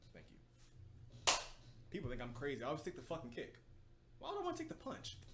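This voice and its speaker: Amid audible room echo, a man speaks in an animated tone at a fairly quick pace, broken by long, frequent pauses. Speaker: podcast host. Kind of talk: casual chat.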